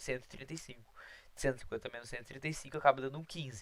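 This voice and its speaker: A man speaks at a medium pitch, keeping his intonation fairly even. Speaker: math teacher. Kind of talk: lecture. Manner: fast.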